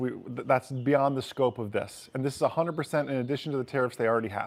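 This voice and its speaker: A man's medium-pitched voice sits on a very clean recording where the background is silent. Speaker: finance channel host. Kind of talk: casual market commentary livestream. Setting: outdoors. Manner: loud.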